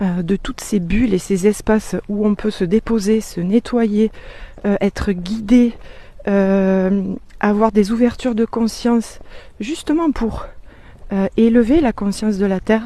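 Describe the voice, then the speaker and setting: A woman at a very slow pace and fairly high pitch, with ordinary pitch variation and long, frequent pauses. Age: 40s. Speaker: energy and business coach. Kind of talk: casual vlog sales pitch. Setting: outdoors on a walk. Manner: hesitant with many fillers.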